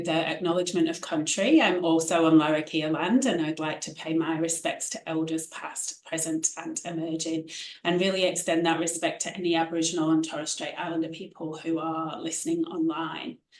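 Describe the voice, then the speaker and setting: A woman speaks with a British accent in a fairly low voice, hardly pausing at all. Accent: UK. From UK. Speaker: infectious diseases physician and researcher. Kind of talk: online symposium talk. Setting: online event.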